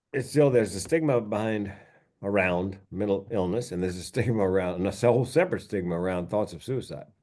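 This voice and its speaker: A man's dark, mellow voice at a fairly low pitch, very fast, with ordinary pitch variation over a quiet background. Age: 60s. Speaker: comedian and mental health speaker. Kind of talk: podcast interview.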